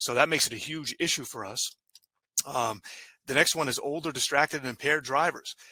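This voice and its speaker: An American accent at a fairly quick pace, with ordinary pitch variation and a dry, close sound with no echo. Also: man. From New England. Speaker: transportation engineer. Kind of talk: webinar presentation. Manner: fast; halting, many fillers.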